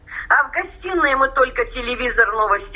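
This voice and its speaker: There is noticeable background noise as a woman speaks at a moderate pace in a high pitch. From Russian Far East, Amur region. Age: 60s. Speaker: emigrant pensioner-to-be, former English teacher. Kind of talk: interview.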